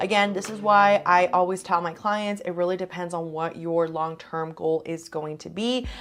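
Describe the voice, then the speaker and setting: A woman with a fairly low voice talks with hardly any pauses. Music plays behind her. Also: fairly even intonation. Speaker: real estate agent. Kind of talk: informational talk to camera. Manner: fast.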